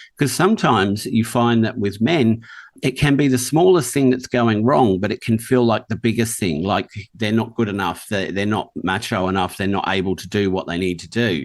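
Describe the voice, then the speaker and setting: A man talks at a moderate pace in an ordinary speaking voice. His pitch is medium, and his intonation is lively. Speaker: podcast host. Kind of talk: interview conversation.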